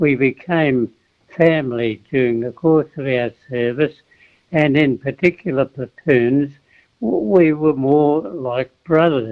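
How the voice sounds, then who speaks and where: Speaking very slowly in an Australian accent, a man uses a fairly high pitch with ordinary pitch variation. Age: 80s+. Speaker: war veteran. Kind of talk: radio interview answer.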